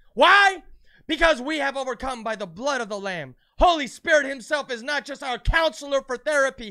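A man projects his raised voice at an extremely high pitch with a bright, sharp tone, lively intonation and big swings in loudness. He keeps a moderate pace in a very clean recording with a silent background. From United States. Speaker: preacher. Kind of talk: sermon. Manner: animated.

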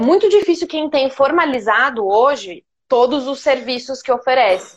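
Using lively intonation, a woman speaks at a fairly slow pace. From Minas Gerais, Brazil (Poços de Caldas). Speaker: marketing planner. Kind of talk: casual interview.

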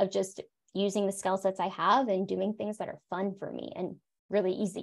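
With an American accent and a normal speaking voice, a woman talks at a moderate pace and medium pitch in a very clean recording with a silent background. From South Florida. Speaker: psychologist and coach. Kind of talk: interview conversation.

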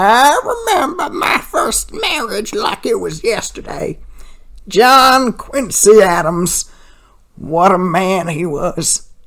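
A put-on character voice at a fairly high pitch, delivered at a very slow pace. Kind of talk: comic overacting prank call. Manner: rambling, raspy coughing.

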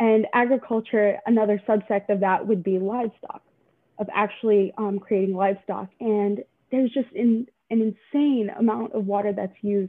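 A woman with an unremarkable speaking voice talks at a moderate pace. Her medium pitch moves with fairly even intonation. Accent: American. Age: young. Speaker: university student. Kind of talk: casual interview chat.

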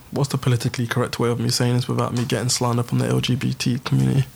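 Noticeable background noise sits under the speech. A man talks very fast. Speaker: podcast host. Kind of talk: heated group debate. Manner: animated, talks over others.

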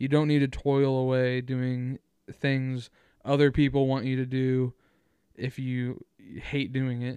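A man talks at a fairly slow pace in a monotone, flat intonation. He leaves long, frequent pauses. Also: medium pitch for a man. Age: 20s. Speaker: solo podcaster. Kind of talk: casual monologue. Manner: rambling, hesitant with fillers.

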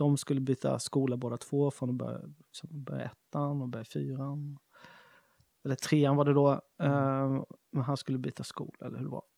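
A dark, mellow voice speaks in a flat monotone at a moderate pace, with a dry, close sound and no echo. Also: man, medium pitch for a man. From Småland, Sweden. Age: 40s. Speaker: chef and shop owner. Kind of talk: casual interview.

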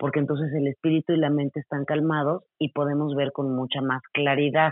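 This woman's voice sits very deep and low. She talks at a moderate pace. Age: 40s. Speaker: yoga teacher and wellness coach. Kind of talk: interview.

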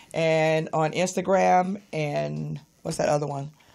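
A woman talks at a fairly slow pace and fairly low pitch. She has a plain, everyday voice. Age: 60s. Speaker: radio host. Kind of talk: casual chat. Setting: studio.

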